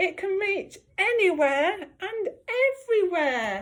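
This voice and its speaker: Raised and projected, a woman's put-on character voice squeaks at an extremely high pitch, swinging very widely in pitch at a very slow pace. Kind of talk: bedtime story. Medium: read story. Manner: gentle, soothing.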